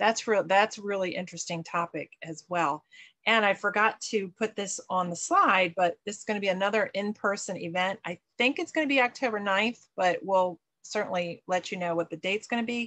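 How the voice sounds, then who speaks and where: A woman's bright, sharp voice moves at a moderate pace with ordinary pitch variation. The background is quiet. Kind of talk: online meeting announcements. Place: home room. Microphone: webcam.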